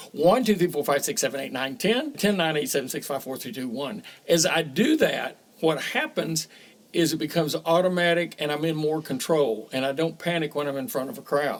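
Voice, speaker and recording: In a normal speaking voice, a man talks at a fairly quick pace with lively intonation and a fairly high pitch. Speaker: auctioneer. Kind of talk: tutorial.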